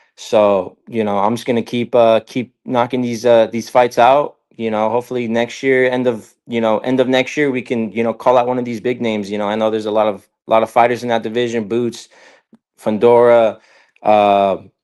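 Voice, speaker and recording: This man speaks in a medium pitch at a moderate pace. His intonation is monotone and flat. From Northern California (Gilroy area). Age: 20s. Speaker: professional boxer. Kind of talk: interview. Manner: halting, many fillers.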